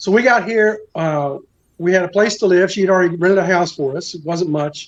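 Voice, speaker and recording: Here a man speaks with an American accent. His pitch is high, with ordinary pitch variation. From Kentucky, US. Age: 60s. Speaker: retired American expat. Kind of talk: interview.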